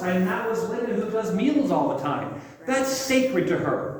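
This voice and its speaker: A man shouts loudly at a moderate pace with ordinary pitch variation, amid audible room echo and noticeable background noise. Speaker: pastor leading a church seminar. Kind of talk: seminar talk to congregation. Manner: loud and passionate, sounds like yelling.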